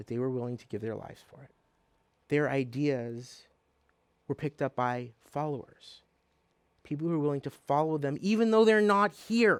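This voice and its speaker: This man has a non-native accent and a fairly high pitch. He talks at a moderate pace with lively intonation. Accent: foreign accent in his adopted country. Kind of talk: motivational lecture.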